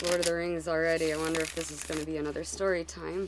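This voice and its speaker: In a room with audible echo and noticeable background noise, a woman talks very fast in a fairly low, flat monotone. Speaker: tarot reader. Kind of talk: tarot reading. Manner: stuttering, halting with fillers.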